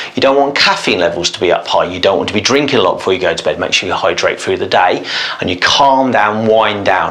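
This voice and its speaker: There is noticeable background noise. A man speaks very fast. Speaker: osteopath. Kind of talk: tutorial.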